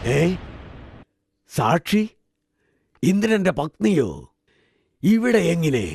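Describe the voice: In a put-on character voice that is slightly mellow with a slightly husky edge and vocal fry, the speaker talks at a very slow pace with very wide pitch swings. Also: man, fairly high pitch for a man.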